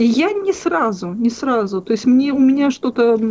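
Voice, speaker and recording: The woman's pitch makes very wide swings. She talks at a fairly slow pace. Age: 40s. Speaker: caller. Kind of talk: phone-in conversation. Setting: phone call. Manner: halting.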